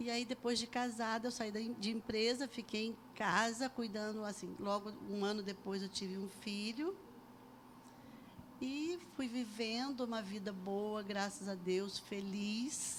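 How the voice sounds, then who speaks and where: A woman speaks at a fairly slow pace with a fairly high pitch, fairly even intonation and an unremarkable speaking voice. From Brazil, Bananal, São Paulo state; raised in Resende from age 11. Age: 60s. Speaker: church member giving testimony. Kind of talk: testimony interview.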